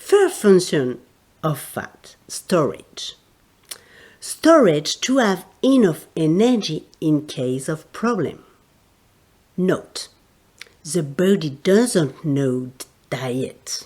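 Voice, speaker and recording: A woman with a French accent speaks at a very slow pace, with long, frequent pauses. Her pitch swings very widely. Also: fairly low pitch for a woman. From France. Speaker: therapist and teacher. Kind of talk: educational podcast talk.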